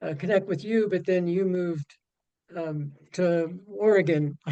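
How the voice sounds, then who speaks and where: A high male voice with a dark, mellow tone. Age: 70s. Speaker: webinar participant. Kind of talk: question in webinar Q&A. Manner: halting, many fillers.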